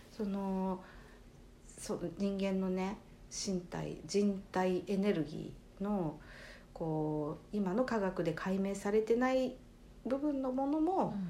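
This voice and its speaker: With a dark, mellow tone and lively intonation, a woman speaks at a very slow pace with long, frequent pauses in audible room echo. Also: medium pitch for a woman. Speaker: life coach. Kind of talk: casual chat.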